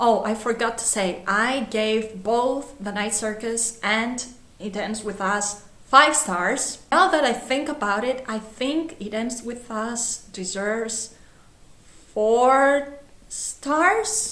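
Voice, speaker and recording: A woman with a Greek accent speaks at a very slow pace, her fairly high pitch showing ordinary variation. Noticeable background noise and audible room echo surround her voice. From Greece. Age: 20s. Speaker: book vlogger. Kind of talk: casual book review vlog. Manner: animated.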